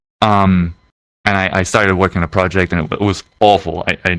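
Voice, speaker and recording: A man with a slight German accent speaks at a fairly quick pace in a very deep, low voice, his intonation fairly even and the sound dry and close with no echo. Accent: slight German accent, near-fluent English. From Germany. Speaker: VR world creator. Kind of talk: casual podcast interview.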